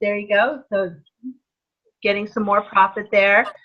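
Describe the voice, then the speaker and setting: A woman with an ordinary speaking voice and medium pitch talks at a moderate pace. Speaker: direct sales team leader. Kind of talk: training webinar.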